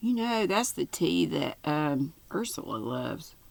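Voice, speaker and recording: At a fairly slow pace, a woman speaks with a Southern US accent. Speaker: YouTube crafter reading stories aloud. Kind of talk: casual chat after reading aloud.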